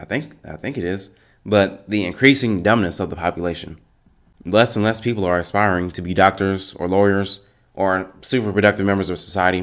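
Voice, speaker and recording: An unremarkable speaking voice: a man with fairly low pitch talks at a fairly quick pace with fairly even intonation. His loudness swings a lot, on a very clean recording with a silent background. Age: 20s. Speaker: solo podcaster. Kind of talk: solo monologue podcast. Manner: casual.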